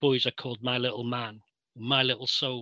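Dry and close with no echo, a man's medium-pitched voice has a bright, sharp tone and a Mancunian accent. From Manchester, England. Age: 60s. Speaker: interviewee. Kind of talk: interview. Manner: halting.

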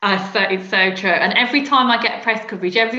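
In a Birmingham accent, a woman talks at a fairly quick pace with ordinary pitch variation as music plays in the background. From Birmingham, England. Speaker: PR specialist. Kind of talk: casual interview chat.

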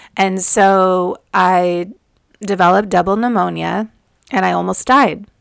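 At a fairly slow pace, a woman with a medium pitch speaks in a nervous, excited tone. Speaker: spiritual podcast host and Akashic Records reader. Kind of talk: solo monologue about spiritual experiences. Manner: nervous, excited about channeling.

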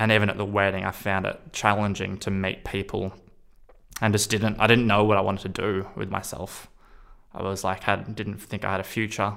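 In an Australian accent, a man speaks at a fairly low pitch in a flat monotone. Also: fairly quick pace. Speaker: person sharing lived experience of psychosis. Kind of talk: personal testimony.

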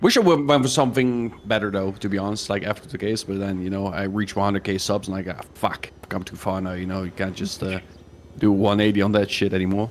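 A man speaks at a fairly quick pace with a fairly low pitch. Noticeable background noise runs underneath. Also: fairly even intonation. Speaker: YouTuber, narrates videos. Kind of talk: casual chat, podcast.

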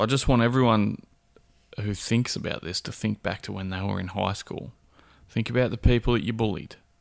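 A man with a fairly low pitch talks at a fairly quick pace with ordinary pitch variation, in a very clean recording with a silent background. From Perth, Australia. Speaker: co-host. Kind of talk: casual comedic banter.

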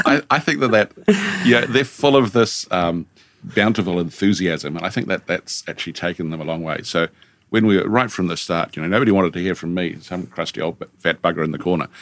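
With a New Zealand accent, a man talks at a fairly quick pace in a very deep, low pitch. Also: ordinary pitch variation. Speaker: senior lecturer and studio director. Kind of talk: casual interview conversation. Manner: joking, playful.

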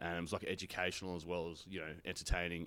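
A man with an Australian accent speaks at a very deep, low pitch in a monotone, flat delivery. He moves at a fairly quick pace on a very clean recording with a silent background. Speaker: stand-up comedian. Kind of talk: casual chat. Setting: comedy venue back room. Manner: fast.

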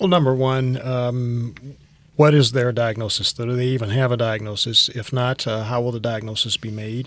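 With an American accent, a man talks at a moderate pace, his medium pitch held in fairly even intonation. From US South, Tifton, south Georgia. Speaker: thoracic surgeon. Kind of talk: medical interview podcast. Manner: many filler words (uh, um).

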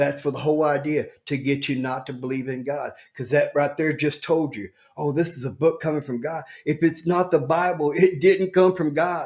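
With an American accent, a man with a plain, everyday voice speaks at a moderate pace in a fairly high pitch with fairly even intonation. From Oklahoma City. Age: 30s. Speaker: street interviewee. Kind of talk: preaching.

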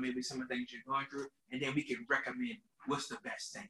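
His tone is bright and sharp, pitched fairly high. The man talks at a very fast pace with ordinary pitch variation. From New Orleans. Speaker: juice bar owner. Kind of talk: casual interview.

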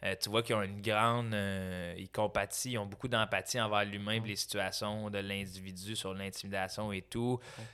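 A man in a Quebec accent, fairly low-pitched and monotone with flat intonation, at a moderate pace with hardly any pauses, on a very clean recording with a silent background. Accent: Québécois French. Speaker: comedian. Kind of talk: casual chat.

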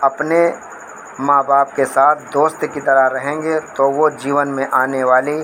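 A man's fairly high-pitched, monotone, flat delivery over noticeable background noise. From Faridabad, Haryana, India. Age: 40s. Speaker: parent. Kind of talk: opinion statement. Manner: halting.

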